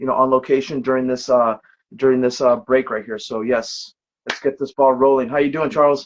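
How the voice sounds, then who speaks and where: A man with an ordinary speaking voice talks at a fairly quick pace, his pitch fairly high. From Brooklyn, New York. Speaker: podcast co-host. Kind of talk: casual chat. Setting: livestream on phone.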